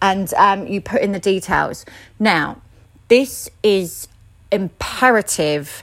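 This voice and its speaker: An unremarkable speaking voice from a woman at medium pitch, with ordinary pitch variation, in a very clean recording over a silent background. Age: 30s. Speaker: aesthetics practitioner. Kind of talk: casual advice monologue.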